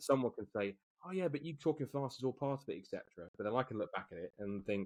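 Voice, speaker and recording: A man with an English accent talks at a very fast pace, with lively intonation at a medium pitch. The sound is dry and close with no echo. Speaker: motorsport commentator. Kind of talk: podcast interview.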